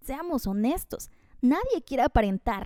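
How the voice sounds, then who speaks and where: With a dry, close sound and no echo, a woman speaks at a moderate pace in a high-pitched, animated tone. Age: 20s. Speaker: podcast host, communication tips. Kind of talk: solo podcast monologue.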